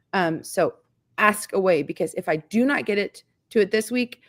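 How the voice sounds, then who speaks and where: Dry, close sound with no echo on a very clean recording with a silent background. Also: woman. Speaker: farm lifestyle YouTuber hosting live stream. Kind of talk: live stream chat and Q&A. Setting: live stream. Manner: animated.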